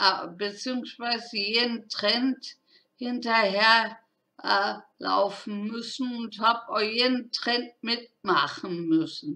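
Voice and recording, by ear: A woman speaks at a slow pace with a bright, sharp tone.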